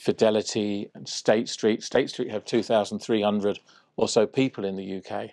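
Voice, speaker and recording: A man with a southern English accent, fairly low in pitch, at a moderate pace, dry and close with no echo, over a quiet background. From southwest London, England. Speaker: trade officer. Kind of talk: interview.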